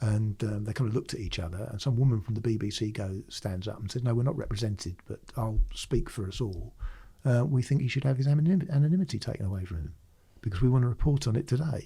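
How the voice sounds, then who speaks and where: Talking very fast, a man with a dark, mellow, somewhat breathy tone speaks at a medium pitch with lively intonation. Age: 60s. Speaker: retired police firearms officer. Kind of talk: casual interview storytelling.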